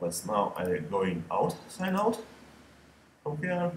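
A man with a non-native accent speaks at a fairly slow pace. Noticeable background noise can be heard. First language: not English. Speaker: photographer. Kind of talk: screen-recorded software tutorial. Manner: casual, hesitant.

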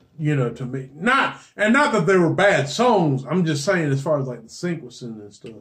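A man with a plain, everyday voice at a fairly high pitch, moderate pace, lively intonation, big swings in loudness and hardly any pauses. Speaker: podcast co-host. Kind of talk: casual chat.

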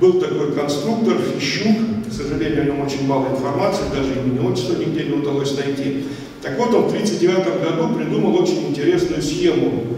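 Fairly quick speech with strong room echo and light background noise. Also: man, fairly high pitch for a man. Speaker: aviation historian. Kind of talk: lecture. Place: hall.

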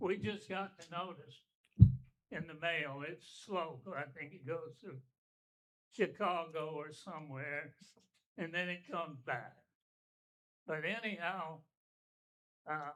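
With an Alabama accent, a man talks at a fairly slow pace in a bright, sharp tone, his pitch high with ordinary variation and his speech broken by long, frequent pauses. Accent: Southern US (Alabama). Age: 80s+. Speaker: retired business owner speaking at public hearing. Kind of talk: public comment at town meeting.

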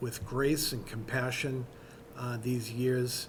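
Slowly and with vocal fry, a man talks in a space with audible room echo.

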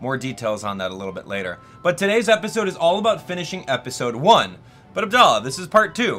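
Faint music sits in the background while a man speaks at a very fast pace. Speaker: gaming streamer. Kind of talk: casual gameplay commentary. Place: studio.

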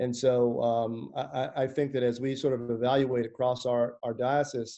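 Against a quiet background, a man speaks with a dark, mellow tone. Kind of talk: interview answer. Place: home room. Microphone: video call.

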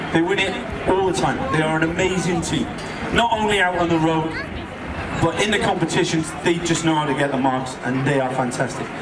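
Loud background noise surrounds a man talking. He keeps a fairly quick pace with ordinary pitch variation. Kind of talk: commentary. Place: street.

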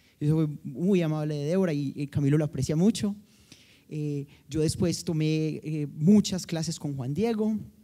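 A man's fairly high-pitched voice, dark and mellow in tone, with ordinary pitch variation and a fairly slow pace against a quiet background. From Colombia, Medellín. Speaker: mathematics professor. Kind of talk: panel discussion. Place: hall. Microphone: handheld.

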